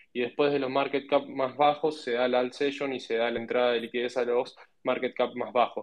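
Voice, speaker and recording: His speech moves fairly quickly at a medium pitch. The man's intonation stays flat and monotone. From Argentina. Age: 20s. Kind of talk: casual panel discussion. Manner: halting with many repetitions.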